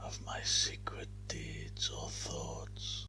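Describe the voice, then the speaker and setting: Whispering, the speaker moves at a very slow pace. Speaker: ASMR narrator. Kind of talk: whispered story reading. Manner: whispered.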